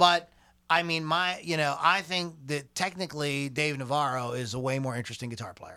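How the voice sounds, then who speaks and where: A man with an American accent speaks at a moderate pace in a fairly high, bright, sharp voice. His tone is animated, and the recording is very clean with a silent background. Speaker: podcast host. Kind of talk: casual banter, irreverent podcast chat. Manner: joking, irreverent, animated.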